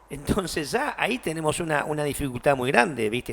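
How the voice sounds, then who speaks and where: A man with an ordinary speaking voice and a fairly high pitch talks at a moderate pace. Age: 60s. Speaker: radio host. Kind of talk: interview.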